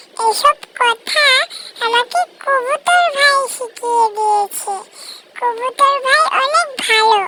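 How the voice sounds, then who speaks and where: In a cartoonish character voice, the speaker talks at a fairly slow pace with extremely high pitch. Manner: plain, earnest.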